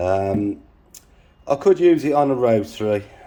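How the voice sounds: At a fairly slow pace, a man with a dark, mellow tone speaks with lively intonation. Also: medium pitch for a man.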